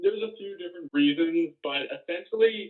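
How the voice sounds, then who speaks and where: A plain, everyday voice speaks with a Canadian accent. The pace is moderate and the pitch varies in an ordinary way. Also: man. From Ontario, Hamilton. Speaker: birder. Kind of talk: interview.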